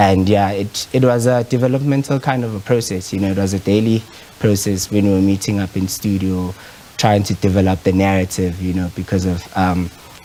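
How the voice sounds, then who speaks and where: A man's fairly low voice with a Zulu accent, fairly quick and fairly even in intonation, over noticeable background noise. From South Africa. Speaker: photographer. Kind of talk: interview. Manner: hesitant, many fillers.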